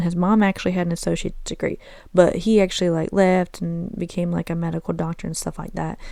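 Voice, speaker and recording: A woman talks at a very fast pace with an American accent. Her voice is fairly low in pitch with a dark, mellow tone. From US Southeast. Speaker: podcast host. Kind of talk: casual chat. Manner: animated.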